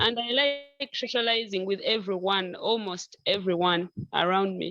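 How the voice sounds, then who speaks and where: Speaking at a fairly slow pace, a woman talks with a Ugandan accent. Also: medium pitch for a woman, ordinary pitch variation. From Western Uganda, Kiruhura district. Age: 20s. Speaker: author. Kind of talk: interview.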